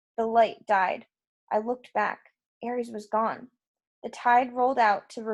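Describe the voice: The recording offers plain reading aloud, its intonation fairly even, against a quiet background.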